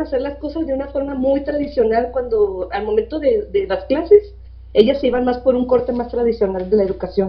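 Lively in intonation, a woman speaks at a high pitch and a moderate pace. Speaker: school principal. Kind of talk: interview.

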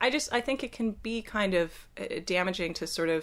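A woman speaks at a moderate pace in a plain, everyday voice. The recording is very clean, with a silent background. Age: 20s. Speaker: film student. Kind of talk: casual chat.

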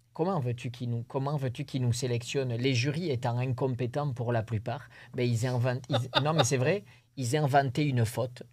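In a very clean recording with a silent background, a man speaks at a fairly slow pace with medium pitch, fairly even intonation and a somewhat breathy voice. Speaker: rodeo bull jumper. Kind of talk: interview. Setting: studio.

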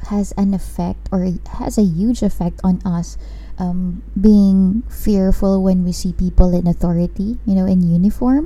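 A woman's medium-pitched voice, fairly slow and fairly even in intonation, with audible room echo and noticeable background noise. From Philippines. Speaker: podcast host. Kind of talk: casual chat. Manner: code-switching between English and Tagalog.

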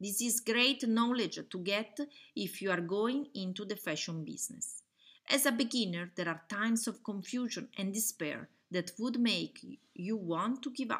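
A woman with an Italian accent talks at a moderate pace in a fairly high pitch. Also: ordinary pitch variation. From Italy. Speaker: online fashion school founder and webinar presenter. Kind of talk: webinar presentation. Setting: webinar with slides, recorded online.

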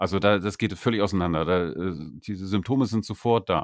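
Against a silent background in a very clean recording, a man speaks at a fairly low pitch. His pitch varies in an ordinary way. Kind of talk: casual chat. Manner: halting, repeats words.

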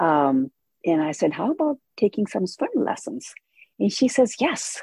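Her tone dark and mellow, a woman speaks fairly slowly with vocal fry and very wide pitch swings. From India. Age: 70s. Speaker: older adult who took up swimming. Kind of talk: casual interview.

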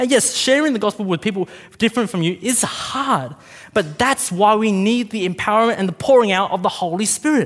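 A man with an Australian accent, high-pitched for a man, with ordinary pitch variation and a fairly quick pace. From Australia, Vietnamese parents. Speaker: preacher. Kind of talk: sermon. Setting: church.

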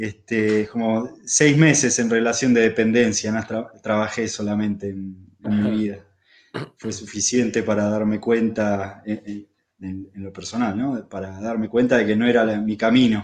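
Over a quiet background, a man with a fairly low pitch talks at a fairly slow pace in a flat monotone, his loudness swinging widely. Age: 40s. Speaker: rural settler, permaculture producer. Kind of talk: casual interview.

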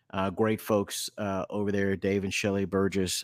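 A man's fairly low voice with an American accent at a moderate pace, recorded dry and close with no echo on a very clean, silent background. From Texas. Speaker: educator, speaker and consultant. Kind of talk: interview conversation.

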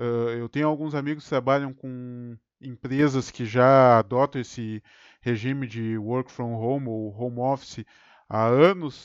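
A man with an unremarkable speaking voice, medium pitch and fairly even intonation at a fairly slow pace, in dry, close sound with no echo against a quiet background. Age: 30s. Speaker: podcast host, IT support public servant. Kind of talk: casual chat. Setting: home studio.

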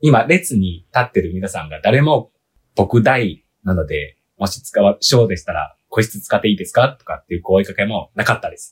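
Speaking at a moderate pace with a Chinese accent, a man uses a somewhat breathy, medium-pitched voice with very wide pitch swings and big swings in loudness. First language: Chinese (speaking Japanese). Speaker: podcast guest, listener. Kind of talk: casual chat. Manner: earnest, serious.

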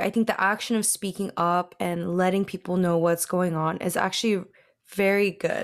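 This is an unremarkable speaking voice with an American accent at a moderate pace. The recording is very clean, with a silent background. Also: woman. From Washington State. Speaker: podcast co-host. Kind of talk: casual discussion.

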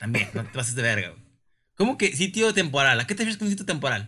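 Very wide pitch swings and a bright, sharp tone at a very fast pace, in a Mexican accent. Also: man. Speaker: podcast co-host. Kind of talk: casual chat.

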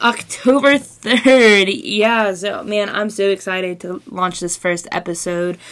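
Over noticeable background noise, a woman speaks in an enthusiastic tone. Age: 20s. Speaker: student podcast host. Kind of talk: casual podcast intro monologue. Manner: enthusiastic, with fillers.

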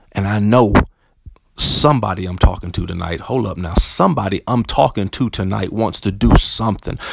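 Animated in tone, a man with an American accent speaks at a fairly low pitch with ordinary pitch variation and vocal fry. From US South (Tuscaloosa, Alabama). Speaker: podcast host, motivational speaker, performer. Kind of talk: motivational monologue.

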